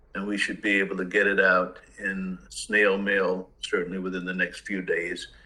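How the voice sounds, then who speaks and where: At a moderate pace and with hardly any pauses, the speaker talks in an American accent. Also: man. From US South, Mississippi. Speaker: judge. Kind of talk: court hearing.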